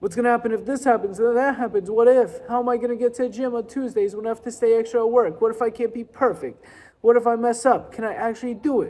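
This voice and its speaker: A put-on character voice, fairly high-pitched and whiny, at a very fast clip. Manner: anxious, negative self-talk.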